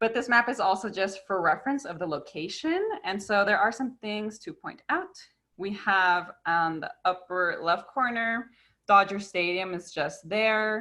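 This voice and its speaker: Fairly slowly, a woman speaks in a bright, sharp, medium-pitched voice with ordinary pitch variation. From US, Mexican-American family. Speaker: park educator. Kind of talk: online presentation. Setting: video call.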